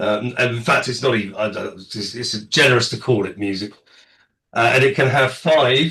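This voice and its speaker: A man with an English accent at medium pitch, moderate pace and a bright, sharp tone, over a quiet background. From England. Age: middle-aged. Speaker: podcast panelist. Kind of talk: casual chat. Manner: deadpan.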